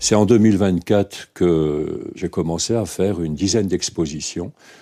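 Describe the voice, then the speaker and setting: Very deep and low, this man's voice has a dark, mellow tone and ordinary pitch variation. He speaks at a moderate pace in a very clean recording with a silent background. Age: 60s. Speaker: metal sculptor. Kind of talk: interview.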